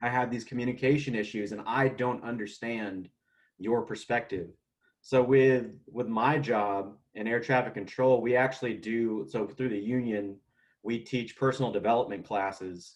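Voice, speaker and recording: A plain, everyday voice from a man, medium in pitch, with fairly even intonation and a moderate pace. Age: 30s. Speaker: air traffic controller. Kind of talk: casual chat.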